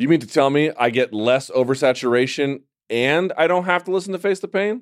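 Against a quiet background, a man has an unremarkable speaking voice. He talks at a fairly quick pace with lively intonation. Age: 30s. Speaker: MMA show host. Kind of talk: casual chat. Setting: studio.

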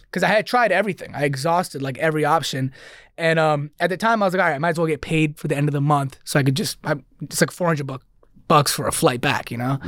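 Fast-talking, a man with an American accent uses a fairly high pitch with ordinary variation. The recording is very clean, with a silent background. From New York, Queens and Long Island. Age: 20s. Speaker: comedian and social media creator. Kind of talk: casual chat.

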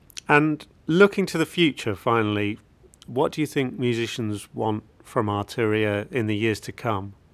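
A man's ordinary speaking voice at a moderate pace with ordinary pitch variation, on a very clean recording with a silent background. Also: medium pitch for a man. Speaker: podcast interviewer. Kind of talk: interview.

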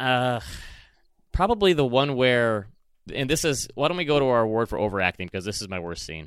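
In a very clean recording with a silent background, a man with a Michigan accent talks at medium pitch and a moderate pace, with very wide pitch swings and long, frequent pauses. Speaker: podcast host. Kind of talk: casual chat.

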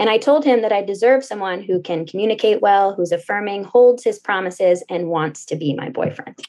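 Her plain, everyday voice at a medium pitch, a woman talks at a fairly quick pace with lively intonation. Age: 20s. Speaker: caller seeking dating advice. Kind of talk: casual advice call.

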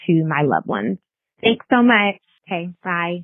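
A woman with a fairly low pitch, lively intonation and a plain, everyday voice. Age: 20s. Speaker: listener leaving voicemail. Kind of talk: voicemail message. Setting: phone voicemail.

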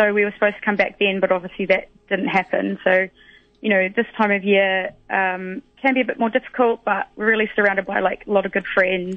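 With a New Zealand accent, a woman talks at a medium pitch and a moderate pace. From New Zealand, West Otago. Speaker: pediatric dietitian. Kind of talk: casual radio interview.

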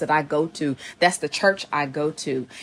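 A woman with a Southern US accent speaks in an animated tone at a very deep, low pitch. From US South. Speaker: playwright and TV showrunner. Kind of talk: casual interview.

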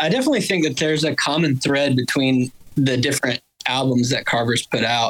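Speaking with an Alabama accent, a man talks at a fairly quick pace. His pitch is fairly high and his intonation fairly even. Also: very even loudness. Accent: Southern US (Alabama). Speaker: bassist in a band. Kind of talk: casual chat.

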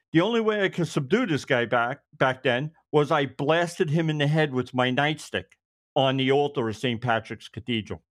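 Here a man speaks with a Brooklyn accent. His pitch sits fairly high. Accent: New York (Brooklyn). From New York. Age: 50s. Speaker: retired police detective. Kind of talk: casual interview storytelling. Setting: video call, audio only. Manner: fast talker.

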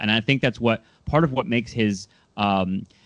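A man with an American accent has an ordinary speaking voice and ordinary pitch variation. He talks at a moderate pace against a quiet background. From Southern California. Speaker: podcast host. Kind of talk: casual interview.

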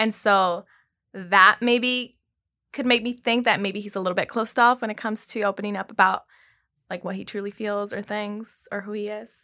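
In a very clean recording with a silent background, a woman with an American accent speaks at a moderate pace and medium pitch. Her tone is bright and sharp, her intonation monotone and flat, and her loudness swings widely. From South Los Angeles. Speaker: dating show contestant. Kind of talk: casual chat.

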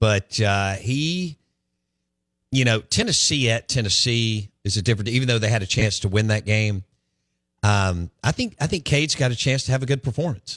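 A man with a Southern US accent speaks at very even loudness in a very clean recording with a silent background and a dry, close sound with no echo. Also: medium pitch for a man, ordinary pitch variation, moderate pace. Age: 40s. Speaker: sports radio host. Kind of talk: casual chat. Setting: studio.

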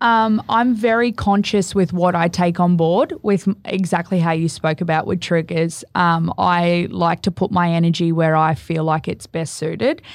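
With an Australian accent, a woman speaks at a fairly low pitch with very even loudness and hardly any pauses against a quiet background. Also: ordinary pitch variation, moderate pace. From Australia, Gold Coast. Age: 30s. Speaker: bereaved mother. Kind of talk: casual interview.

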